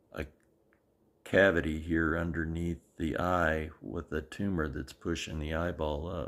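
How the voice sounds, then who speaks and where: A man with a very deep, low pitch speaks at a fairly slow pace in a monotone, flat intonation, with vocal fry. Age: 70s. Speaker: video blogger sharing medical journey. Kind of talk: personal video diary.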